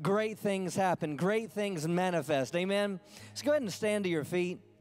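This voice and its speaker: A man speaks at a high pitch and a moderate pace, with ordinary pitch variation. Faint music sits in the background. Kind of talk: sermon. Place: church. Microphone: handheld.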